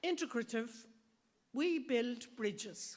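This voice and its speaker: Here a woman speaks in an Irish accent at high pitch. Her pace is very slow. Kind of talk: speech at event.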